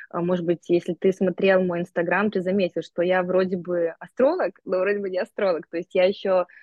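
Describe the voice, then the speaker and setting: Her pitch is medium and her pace moderate as this woman speaks. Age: 30s. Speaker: astrologer and life coach. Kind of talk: casual chat. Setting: phone video call. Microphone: phone on mobile internet.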